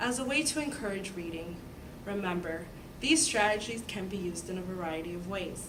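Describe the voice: Someone reads aloud. The delivery is plain.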